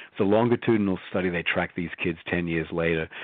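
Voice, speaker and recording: Speech comes at a moderate pace in an Australian accent. The intonation stays monotone and flat. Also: man. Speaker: psychologist. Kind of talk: interview.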